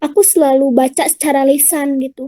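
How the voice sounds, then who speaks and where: A woman's shrill, high voice with a dark, mellow tone, a fairly quick pace and a dry, close sound with no echo. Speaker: public speaking speaker. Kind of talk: online talk and Q&A. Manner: casual, chatty.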